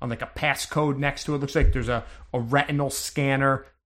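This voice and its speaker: With an unremarkable speaking voice, a man talks at a moderate pace, fairly high in pitch, with fairly even intonation. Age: 40s. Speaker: game master of a tabletop role-playing podcast. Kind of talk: tabletop role-play narration and casual chat.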